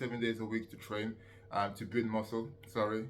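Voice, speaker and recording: Speaking at a moderate tempo, a man is heard against noticeable noise in the background. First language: not English. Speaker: fitness coach and youtuber. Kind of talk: casual tutorial monologue. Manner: hesitant, many fillers.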